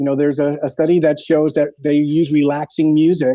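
Against a quiet background, a man with an American accent and a dark, mellow tone talks at a moderate pace with a fairly high pitch. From New York. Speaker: music producer. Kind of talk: interview.

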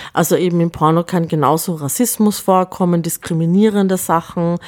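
This woman has an unremarkable speaking voice, fairly low in pitch with ordinary variation. The sound is dry and close, with no echo. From Upper Austria. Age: 40s. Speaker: film festival director and artist. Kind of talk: interview.

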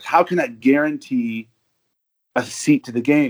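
A man talks with an American accent. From Arizona, US. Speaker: football fan, hospital worker. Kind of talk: casual interview.

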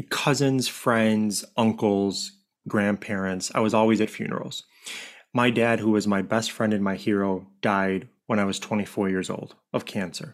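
A man with a normal speaking voice, fairly low in pitch, at a fairly slow pace with fairly even intonation, on a very clean recording with a silent background. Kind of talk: interview conversation.

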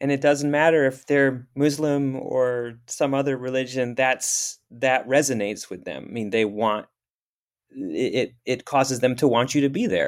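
In an ordinary speaking voice, a man talks at a moderate pace and medium pitch with fairly even intonation on a very clean recording with a silent background. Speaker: podcast host. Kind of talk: interview conversation.

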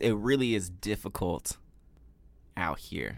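A man talks at a fairly slow pace with vocal fry. The recording is very clean, with a silent background. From US South, Memphis, Tennessee. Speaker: podcast co-host. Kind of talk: casual chat. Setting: studio.

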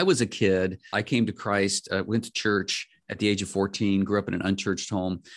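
A man with a normal speaking voice talks at a fairly quick pace and fairly low pitch against a quiet background. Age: 60s. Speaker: pastor and podcast host. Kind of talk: interview podcast.

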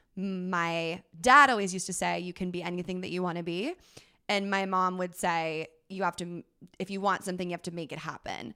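A woman speaks at a fairly quick pace in a medium pitch, with ordinary pitch variation. It is an unremarkable speaking voice on a very clean recording with a silent background. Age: 20s. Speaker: mental health advocate and influencer. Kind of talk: casual chat.

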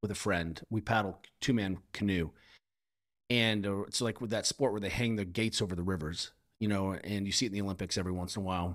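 Recorded very cleanly against a silent background, a man with an American accent has an unremarkable speaking voice, fairly low in pitch, with fairly even intonation. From grew up in Europe, American family. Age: 50s. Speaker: physical therapist and strength coach. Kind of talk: casual interview chat.

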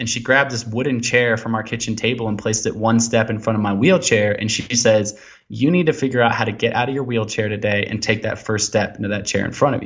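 A man with a West Coast accent at a very fast pace, with hardly any pauses. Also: medium pitch for a man, fairly even intonation. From US Pacific Northwest, Portland, Oregon. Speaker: explorer and endurance athlete. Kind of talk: interview conversation. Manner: hesitant fillers, many ums and uhs.

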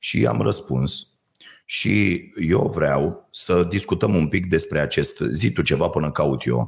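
Very even in loudness, a man speaks at a very slow pace. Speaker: podcast co-host. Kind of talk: casual chat. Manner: animated.

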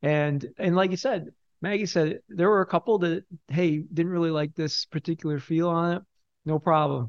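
Against a quiet background, a man with an unremarkable speaking voice talks at a moderate pace in a fairly high pitch, with ordinary pitch variation and a dry, close sound with no echo. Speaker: corporate chief of staff, volunteer. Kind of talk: casual interview chat. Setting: studio.

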